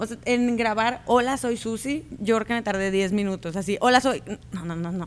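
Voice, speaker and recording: Here is an ordinary speaking voice from a woman with a fairly high pitch. She uses ordinary pitch variation at a moderate pace. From Mexico, Culiacán, Sinaloa. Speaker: YouTuber, crafts and party decoration creator. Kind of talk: interview.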